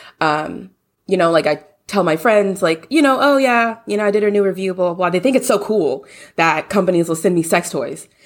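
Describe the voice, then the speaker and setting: On a very clean recording with a silent background, a woman with an American accent speaks at medium pitch and a fairly quick pace, with lively intonation. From US South (Louisiana). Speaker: sex blogger and social work student. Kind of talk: interview.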